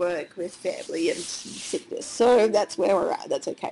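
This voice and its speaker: A woman with an Australian accent speaks at a fairly slow pace and medium pitch. Noticeable background noise runs behind her. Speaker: online course creator, business owner. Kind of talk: casual talk to camera, screen walkthrough.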